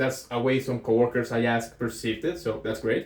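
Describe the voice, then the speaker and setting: A man with a Colombian accent speaks at a moderate pace in a medium pitch. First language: Spanish. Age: 20s. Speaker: aspiring entrepreneur vlogger. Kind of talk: casual vlog monologue. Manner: hesitant, with fillers.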